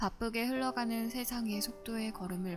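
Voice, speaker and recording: A woman speaks with music in the background. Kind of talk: audiobook reading. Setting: quiet recording with background music. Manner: soft-spoken.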